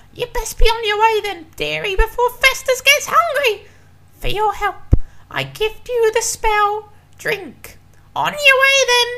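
A man puts on a character voice at an extremely high pitch. He delivers it at a fairly slow pace. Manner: sugary, then snapping at the dog.

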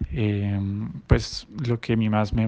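A man's fairly low voice at a very slow pace, with fairly even intonation. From Colombia, Bogotá. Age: 20s. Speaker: former exchange student. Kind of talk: recorded testimonial.

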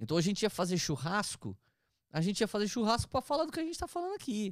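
The recording is very clean, with a silent background and a dry, close sound with no echo. A man speaks at a very fast pace. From interior of São Paulo state, Brazil (Taubaté/Tremembé). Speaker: pastor. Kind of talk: casual chat, testimony.

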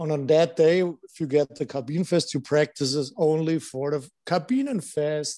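Speaking at a fairly slow pace with a German accent, a man has a fairly high pitch and a dark, mellow tone. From Germany, Landshut. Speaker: former pro hockey player. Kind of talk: casual chat. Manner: halting.

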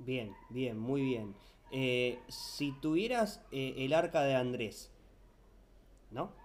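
Very slowly and with long, frequent pauses, a man at medium pitch speaks with lively intonation, and room echo is audible. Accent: Rioplatense. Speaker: podcast co-host. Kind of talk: casual interview.

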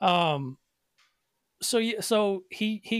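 Recorded very cleanly against a silent background, a man talks with ordinary pitch variation in a dry, close sound with no echo. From Nashville, Tennessee. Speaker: podcast host. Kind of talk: casual chat.

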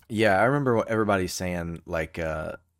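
A man with an American accent at a fairly quick pace, in a dry, close, very clean recording with no echo and a silent background. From United States. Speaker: beer podcast co-host. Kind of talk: casual chat.

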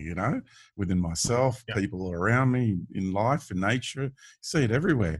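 A man with lively intonation, a somewhat breathy voice and a fairly quick pace, against a quiet background. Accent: Australian. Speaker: podcast host. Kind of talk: casual chat. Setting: video call.

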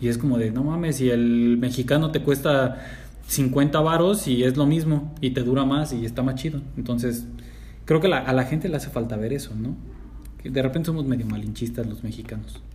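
With audible room echo, a man at medium pitch speaks at a moderate pace, somewhat breathy, his intonation fairly even. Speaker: podcast co-host. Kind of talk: casual chat.

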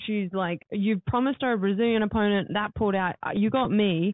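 With an Australian accent, a woman talks at a very fast pace. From Gold Coast, Australia (born in New Zealand). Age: 20s. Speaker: MMA fighter. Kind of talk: casual interview. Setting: podcast room in a hotel.

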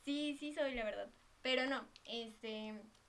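In a Mexican accent, a woman speaks at a high pitch with fairly even intonation. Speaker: podcast guest. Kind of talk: casual chat.

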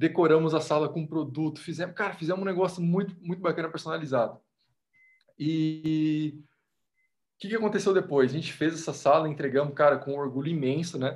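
This man has an unremarkable speaking voice, fairly high in pitch, moving at a fairly quick pace with fairly even intonation. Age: 20s. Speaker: podcast guest, motivational content creator. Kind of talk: casual chat.

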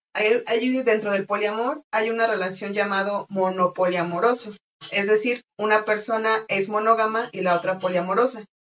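A woman's fairly high voice at a moderate pace with fairly even intonation, an unremarkable speaking voice. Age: 20s. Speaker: podcast guest sharing polyamory experience. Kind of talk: casual conversation, personal testimony.

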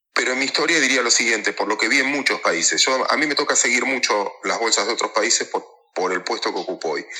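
A man talks at a very fast pace with hardly any pauses. He speaks in a Rioplatense accent. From Mar del Plata, Argentina. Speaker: stock market operator and analyst. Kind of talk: interview.

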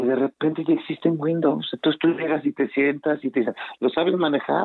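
This man has a Mexican accent and a fairly high pitch. His intonation stays fairly even. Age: 40s. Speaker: guest commentator. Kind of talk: casual chat.

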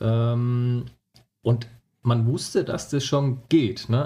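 This man's voice sits at medium pitch, dark and mellow, somewhat breathy, with fairly even intonation. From Franconia, Nuremberg (Germany). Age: 30s. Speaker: hobby photographer. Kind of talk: podcast interview.

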